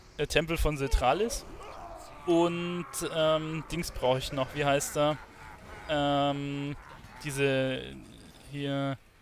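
A man speaks at a very slow pace with long, frequent pauses. His pitch is fairly high. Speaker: gaming YouTuber. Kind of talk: casual gaming commentary. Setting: recorded late at night at home, playing a game. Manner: relaxed, chatty.

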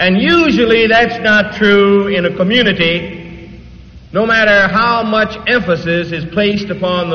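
His pitch sits high for a man, with ordinary pitch variation. The man speaks at a fairly slow pace. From Detroit. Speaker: preacher. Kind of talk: church sermon. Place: church. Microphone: old recording.

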